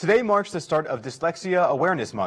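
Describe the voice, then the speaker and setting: A man with an American accent talks at a very fast pace. His voice has vocal fry. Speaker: university campus news anchor. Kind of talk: news anchor read.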